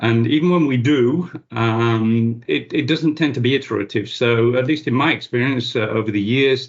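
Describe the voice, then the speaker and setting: In a plain, everyday voice, a man speaks at a moderate pace and medium pitch with ordinary pitch variation. His loudness stays very even, and he hardly pauses. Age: 60s. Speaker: cybersecurity expert. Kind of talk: interview.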